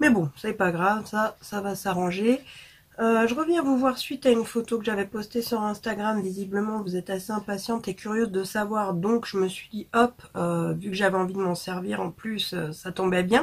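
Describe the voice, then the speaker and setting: A woman's voice comes through somewhat breathy. Her pitch varies in an ordinary way. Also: medium pitch for a woman, moderate pace. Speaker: beauty vlogger. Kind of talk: product review vlog. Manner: casual with many hesitations.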